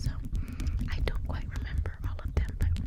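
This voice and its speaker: A woman whispers with noticeable background noise behind her. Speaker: ASMR artist. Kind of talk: ASMR rambling to camera. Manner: whispered, soft-spoken.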